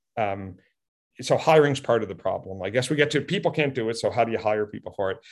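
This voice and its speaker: A normal speaking voice moves at a fairly quick pace with lively intonation, against a quiet background. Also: man. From Cape Breton, Nova Scotia, Canada. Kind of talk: interview.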